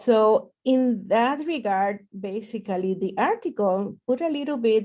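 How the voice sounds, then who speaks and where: A woman with a Puerto Rican accent has a dark, mellow tone, fairly high in pitch, with ordinary pitch variation. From Puerto Rico. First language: Spanish. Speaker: professor. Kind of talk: lecture. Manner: hesitant with many fillers.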